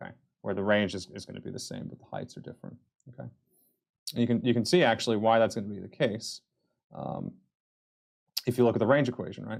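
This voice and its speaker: The voice moves at a very fast pace with long, frequent pauses, big swings in loudness, and fairly even intonation. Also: man, medium pitch for a man. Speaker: physics instructor. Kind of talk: lecture. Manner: hesitant, many fillers.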